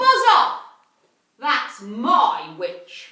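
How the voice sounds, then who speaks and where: A shrill, growling put-on character voice carries a slight echo. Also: woman, high pitch for a woman. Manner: rude, shouting.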